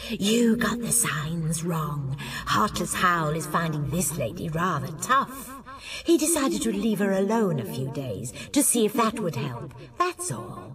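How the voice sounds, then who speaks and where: Over clear background noise, a woman uses a put-on character voice, fairly low in pitch, at a fairly slow pace. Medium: read story. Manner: wry, teasing.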